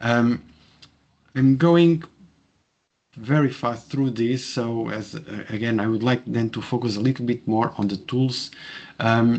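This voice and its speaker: A man with a Portuguese accent. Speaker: professor. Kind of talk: webinar presentation. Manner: halting, many fillers.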